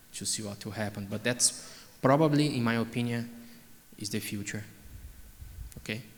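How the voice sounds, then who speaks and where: A man talks at a moderate pace. His fairly even intonation is heard with audible room echo. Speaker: oncologist. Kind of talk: conference Q&A.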